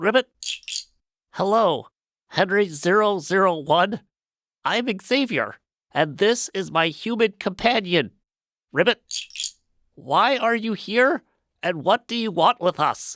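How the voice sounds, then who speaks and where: A man puts on a croaky, high-pitched character voice, moving at a fairly slow pace with long, frequent pauses. The recording is very clean with a silent background, and the sound is dry and close with no echo. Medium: audio drama. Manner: punctuates speech with croaking ribbits.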